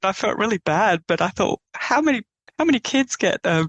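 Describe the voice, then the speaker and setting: With an Australian accent, a woman speaks at a fairly quick pace. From eastern Australia. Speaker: painter. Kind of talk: interview conversation. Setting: podcast interview.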